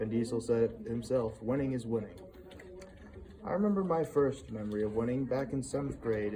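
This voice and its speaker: A shaky man's voice at medium pitch and a fairly quick pace, with noticeable background noise. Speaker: student. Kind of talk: reading aloud. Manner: shaky voice.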